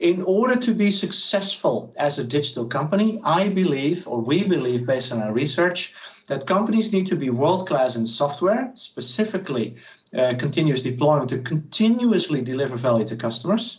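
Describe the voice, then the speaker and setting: A man's somewhat breathy voice rises and falls in very wide pitch swings. Audible room echo is present. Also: fairly high pitch for a man, fairly quick pace. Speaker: professor. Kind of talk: lecture. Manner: fast.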